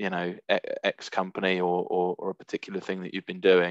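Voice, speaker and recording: A man speaks with a very deep, low pitch. The sound is dry with no echo, over a quiet background. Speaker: recruiter; presenter. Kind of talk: webinar presentation. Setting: video call. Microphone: video call.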